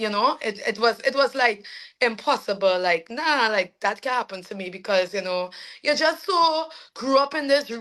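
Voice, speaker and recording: In a very clean recording with a silent background, a woman with a fairly high pitch and a bright, sharp tone speaks at a moderate pace with lively intonation. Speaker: soca singer. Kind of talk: interview.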